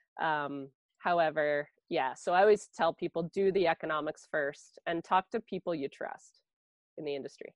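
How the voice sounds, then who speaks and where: At a fairly low pitch for a woman, she speaks at a moderate pace with ordinary pitch variation, the sound dry and close with no echo over a quiet background. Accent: Ontario. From southwestern Ontario, Canada. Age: 40s. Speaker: sheep and grain farmer. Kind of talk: interview. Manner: casual, chatty.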